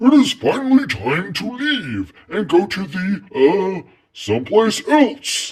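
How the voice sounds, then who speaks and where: A man puts on a loud character voice with a high pitch. He speaks at a fairly slow pace. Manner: hearty, announcing.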